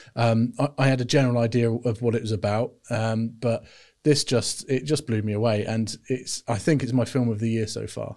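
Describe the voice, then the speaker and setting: Recorded very cleanly over a silent background, a British man with a dark, mellow tone talks with fairly even intonation. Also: medium pitch for a man, moderate pace. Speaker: film podcast co-host. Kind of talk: casual chat. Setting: studio.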